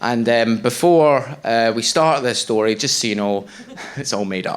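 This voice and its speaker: Over noticeable background noise, a man with a Scottish accent speaks at a medium pitch and moderate pace with ordinary pitch variation. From Scotland. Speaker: stand-up comedian. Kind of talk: stand-up. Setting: stage with audience.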